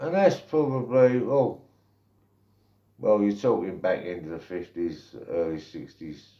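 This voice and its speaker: A man speaks at a medium pitch in a dark, mellow tone, with very wide pitch swings and big swings in loudness. His pace is fairly slow, broken by long, frequent pauses. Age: 60s. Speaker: vlogger. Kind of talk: opinion monologue. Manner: slow, deliberate; halting.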